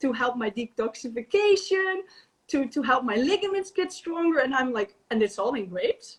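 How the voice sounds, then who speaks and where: In a Dutch accent, a woman with a high voice speaks at a moderate pace, her pitch swinging very widely. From Netherlands. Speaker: natural therapist and raw vegan chef. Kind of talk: casual interview. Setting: video call livestream. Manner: halting.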